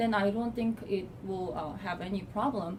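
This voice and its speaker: A fairly slow voice in a Korean accent, with ordinary pitch variation and noticeable background noise. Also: woman. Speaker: assistant professor. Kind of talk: interview. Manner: halting.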